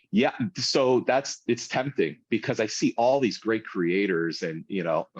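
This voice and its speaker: Against a quiet background, a man talks at a fairly slow pace in an unremarkable speaking voice. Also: medium pitch for a man, lively intonation, dry, close sound with no echo. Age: 40s. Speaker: food content creator and small business owner. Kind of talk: casual interview chat.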